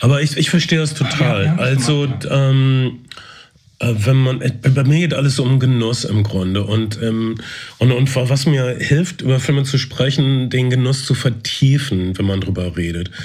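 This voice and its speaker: At a moderate pace, a man speaks with a medium pitch and ordinary pitch variation, sounding somewhat breathy. Audible room echo is present. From East Westphalia, Germany. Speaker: podcast host. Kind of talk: casual chat.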